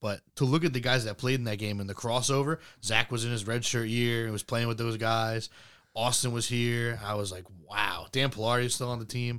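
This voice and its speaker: Over a very clean recording with a silent background, a man talks at a fairly quick pace in a normal speaking voice, medium in pitch, with fairly even intonation. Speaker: podcast co-host. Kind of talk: casual chat.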